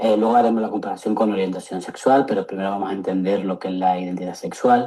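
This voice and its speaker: Speaking very fast in an Andalusian accent, a man keeps his fairly low voice at a fairly even intonation. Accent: Andalusian (Seville) accent, noticeable. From Seville, Andalusia, Spain. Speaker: psychologist. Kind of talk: lecture. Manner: hesitant, many fillers.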